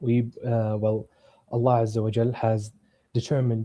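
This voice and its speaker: The voice has a dark, mellow tone and an Arabic accent. Its intonation is monotone and flat. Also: man. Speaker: caller challenging Islam. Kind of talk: debate. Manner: halting, hesitant.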